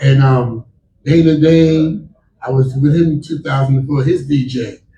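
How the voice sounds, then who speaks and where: Somewhat breathy and fairly high in pitch, a man with an American accent talks at a moderate pace with fairly even intonation. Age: 60s. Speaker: hip-hop DJ and producer. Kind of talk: panel discussion.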